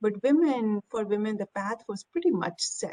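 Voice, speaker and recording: A woman speaks with an Indian accent. The sound is dry and close, with no echo. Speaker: technology executive. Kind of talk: panel discussion.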